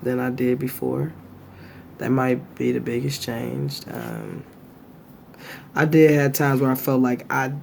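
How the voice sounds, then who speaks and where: A man at a fairly slow pace with long, frequent pauses over noticeable background noise. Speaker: vlogger. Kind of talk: casual chat.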